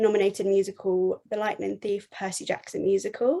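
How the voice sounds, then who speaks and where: A woman with a southern English accent speaks at a fairly high pitch with ordinary pitch variation. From England. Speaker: podcast host. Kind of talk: podcast interview.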